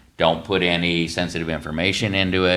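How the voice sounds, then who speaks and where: A man's very deep, low voice, flat and monotone at a fairly quick pace, with audible room echo. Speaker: county IT staff presenting policy. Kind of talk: public meeting presentation. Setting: county commissioners meeting.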